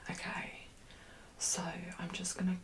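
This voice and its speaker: A woman whispers while clearly audible background noise carries on behind her. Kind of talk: ASMR makeup consultation, soft-spoken. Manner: soft-spoken.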